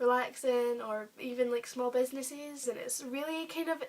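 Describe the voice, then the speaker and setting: A woman's high-pitched voice with an English accent, moderate pace and fairly even intonation. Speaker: YouTuber. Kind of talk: casual vlog. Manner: hesitant; soft-spoken.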